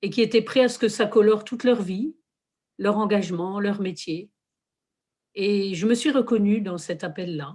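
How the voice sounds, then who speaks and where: In a very clean recording with a silent background, a woman speaks at a fairly slow pace and medium pitch, with a dark, mellow tone, ordinary pitch variation and long, frequent pauses. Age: 60s. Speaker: lay religious community worker. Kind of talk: testimony. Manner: hesitant, with fillers.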